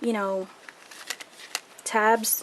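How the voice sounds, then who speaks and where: A woman's medium-pitched voice with fairly even intonation, amid noticeable background noise. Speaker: crafting video creator. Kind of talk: tutorial.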